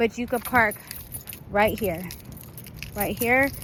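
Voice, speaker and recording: Her voice sits fairly high for a woman, and her intonation stays fairly even. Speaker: event organizer. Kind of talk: walkthrough tutorial video. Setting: outdoors in a park. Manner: casual, filler-heavy.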